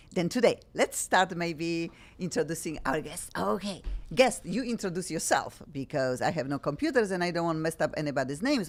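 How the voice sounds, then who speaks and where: A woman with a strong Polish accent speaks at a fairly low pitch in an energetic, animated tone with lively intonation. Her fairly quick delivery comes through on a very clean recording with a silent background. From Poland. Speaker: radio and TV talk show host. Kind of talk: talk show chat. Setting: studio with camera.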